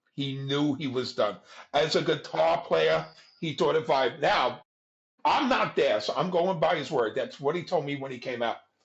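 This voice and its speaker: This man has a New York accent. He talks at a moderate pace. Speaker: music club figure. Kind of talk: storytelling interview. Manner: animated.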